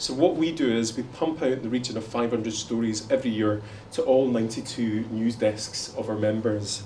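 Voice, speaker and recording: A man with a Glaswegian accent is heard with audible room echo and noticeable background noise. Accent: Glaswegian Scottish. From Scotland, Glasgow. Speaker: panel moderator. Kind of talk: conference panel introduction. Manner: fast.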